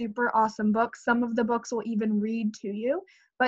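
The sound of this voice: The reading voice is unforced. It reads the words aloud.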